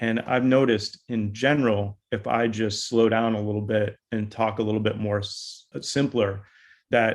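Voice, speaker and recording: With a plain, everyday voice, a man speaks at medium pitch and a moderate pace, his intonation fairly even. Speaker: consultant on company podcast. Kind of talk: casual panel discussion.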